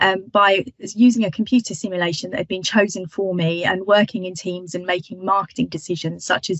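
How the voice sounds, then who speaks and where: A woman talks at a moderate pace with medium pitch and ordinary pitch variation. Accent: British. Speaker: marketing lecturer. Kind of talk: webinar talk. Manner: hesitant, many fillers.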